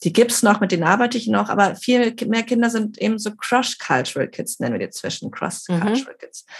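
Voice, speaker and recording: A woman with a fairly high pitch talks at a fairly quick pace, with hardly any pauses. Her voice carries vocal fry and big swings in loudness. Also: ordinary pitch variation. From Barcelona, Spain. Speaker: intercultural trainer and psychologist. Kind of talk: interview conversation.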